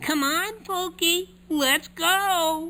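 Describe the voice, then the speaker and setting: An extremely high-pitched, put-on character voice carries the clip. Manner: earnest, cartoonish.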